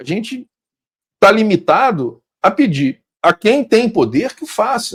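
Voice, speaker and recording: The voice moves through very wide pitch swings at a very slow pace, with a dry, close sound and no echo. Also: man, high pitch for a man. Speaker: podcast host. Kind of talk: interview. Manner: loud.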